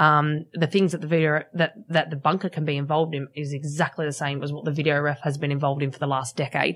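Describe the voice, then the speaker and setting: Speaking very fast with an Australian accent, a woman uses a very deep, low pitch and monotone, flat intonation. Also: hardly any pauses. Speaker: rugby league referee. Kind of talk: casual chat. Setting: studio.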